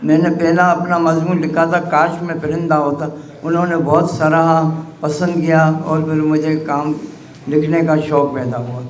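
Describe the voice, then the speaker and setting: Over noticeable background noise and audible room echo, a man speaks at a fairly high pitch in a monotone, flat intonation. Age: 70s. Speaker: writer and editor. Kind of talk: acceptance speech. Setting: press club event. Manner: halting.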